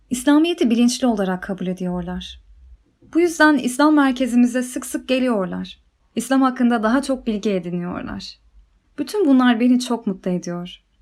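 A woman talks at a moderate pace, her pitch high and her intonation lively. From Ukraine, Kyiv. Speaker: religious convert. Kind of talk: personal testimony.

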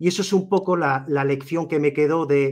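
Against a quiet background, a man speaks at a moderate pace. His voice is fairly high with fairly even intonation. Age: 40s. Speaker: YouTuber. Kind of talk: interview. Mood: reflective, personal storytelling. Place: home room. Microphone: video call.

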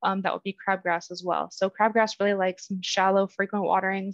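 With an American accent, a woman talks at a fairly quick pace in a dry sound with no echo and a quiet background. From Texas. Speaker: lawn care advisor, horticulturist; presenter. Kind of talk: educational webinar. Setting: online webinar. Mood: calm, helpful. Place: home room. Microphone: webcam.

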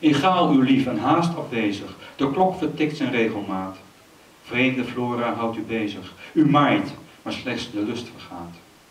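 A man's medium-pitched voice with lively intonation and audible room echo. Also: fairly slow pace. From Amsterdam. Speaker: poet. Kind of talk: poetry reading. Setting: stage with audience. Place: stage. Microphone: handheld.

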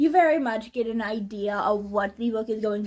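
The tone is dark and mellow. It belongs to a woman. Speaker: book reviewer. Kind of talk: casual vlog chat. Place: home room. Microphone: camera far.

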